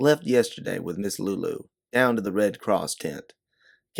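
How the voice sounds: The voice is a natural reading voice. It is heard over a quiet background.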